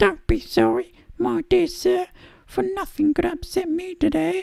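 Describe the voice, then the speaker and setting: A squeaky, put-on character voice pitched extremely high. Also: moderate pace. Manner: gleeful, elated.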